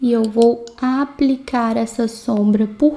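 A woman speaks with fairly even intonation. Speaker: beauty content creator. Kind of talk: makeup tutorial. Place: home room. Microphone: phone near.

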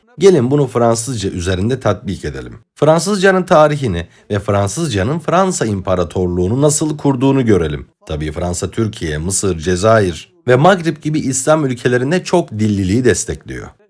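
A man with an Arabic accent and very wide pitch swings. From Egypt. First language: Arabic (speaking Turkish). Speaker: political commentator. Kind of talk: lecture. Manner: formal.

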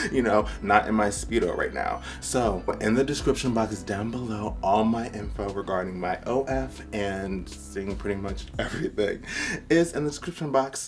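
A man with a fairly low pitch talks at a moderate pace while clear music plays in the background. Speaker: fitness vlogger. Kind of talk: casual vlog chat. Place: home room. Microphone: camera far.

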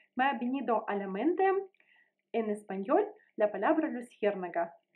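A woman with a Russian accent speaks at a fairly high pitch, her voice swinging very widely up and down against a quiet background. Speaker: language teacher. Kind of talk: tutorial. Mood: friendly, smiling. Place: home room. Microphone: phone near.

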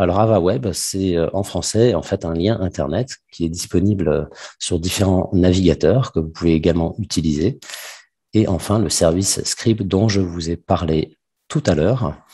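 Over a quiet background, a man with a very deep, low, dark and mellow voice speaks at a fairly slow pace with ordinary pitch variation. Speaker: business development manager presenting a product; webinar presenter. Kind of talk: webinar presentation. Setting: video call webinar. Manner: hesitant, many fillers. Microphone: headset mic close to the mouth; webcam.

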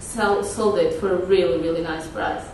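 A woman with a Portuguese accent talks at a moderate pace over noticeable background noise, with audible room echo. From Portugal. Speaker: activist and conference speaker. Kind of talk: conference talk with slides. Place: meeting room. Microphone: podium.

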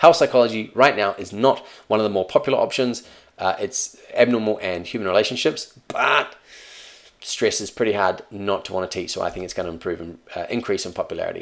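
An animated man at a fairly quick pace, with big swings in loudness, over a quiet background. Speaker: psychology teacher. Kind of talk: tutorial. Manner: fast. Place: home room.

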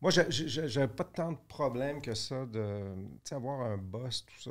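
The man speaks at a very slow pace. His intonation is lively. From Quebec (Laval); Quebec. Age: older than the hosts. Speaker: business executive; podcast guest. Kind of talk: interview conversation. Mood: relaxed, reflective storytelling. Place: studio. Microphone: studio mic.

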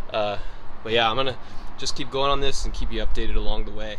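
There is light background noise. A man speaks with fairly even intonation. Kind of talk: casual vlog chat. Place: car. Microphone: phone near.

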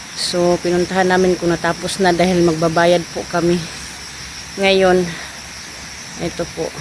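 Long, frequent pauses, a fairly slow pace and flat, monotone intonation in a Visayan accent, over noticeable background noise. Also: woman, fairly low pitch for a woman. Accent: Visayan accent in Tagalog. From Visayas, Philippines. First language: Bisaya (speaking Tagalog). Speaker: vlogger. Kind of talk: casual vlog narration. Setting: outdoors. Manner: halting, repetitive.

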